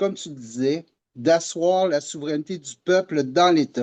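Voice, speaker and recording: A man with a dark, mellow tone and a fairly high pitch speaks fairly slowly with ordinary pitch variation. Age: 60s. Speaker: political activist. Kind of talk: interview podcast. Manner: hesitant, many fillers.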